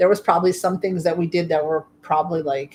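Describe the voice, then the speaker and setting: Fairly low in pitch, a woman talks fairly quickly in a plain, everyday voice with fairly even intonation. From US Midwest (South Dakota). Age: 50s. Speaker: streamer. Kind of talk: casual chat. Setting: livestream.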